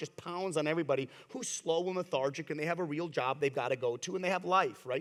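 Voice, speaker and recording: With ordinary pitch variation, a man talks at a very fast pace in a fairly high voice. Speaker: crypto company executive. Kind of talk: panel discussion. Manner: loud.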